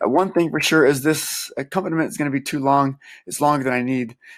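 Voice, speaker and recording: Ordinary pitch variation runs through this man's speech at a fairly quick pace. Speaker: music teacher. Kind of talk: tutorial.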